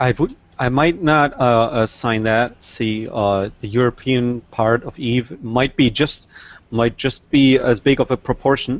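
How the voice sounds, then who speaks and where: Speaking at a fairly slow pace, a man has a medium pitch. He talks in a German accent. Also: ordinary pitch variation. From Germany, Brandenburg. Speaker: gamer. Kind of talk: casual chat.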